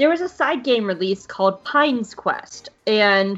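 A plain, everyday voice from a woman, pitched fairly high, moving at a moderate pace. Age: 30s. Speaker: podcast host. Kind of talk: casual chat; scripted narration.

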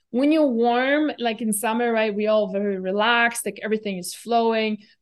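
In a plain, everyday voice, a woman talks at a moderate pace with fairly high pitch and fairly even intonation. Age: 40s. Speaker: nutrition expert and herbalist. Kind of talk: interview. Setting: remote call.

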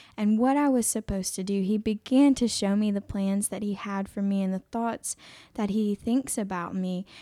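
A woman's dark, mellow voice with an American accent, fairly even intonation and a moderate pace, in a dry, close sound with no echo and a very clean recording with a silent background. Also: medium pitch for a woman. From South Carolina, Aiken. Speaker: pregnancy care center worker. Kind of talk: testimony. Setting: studio.

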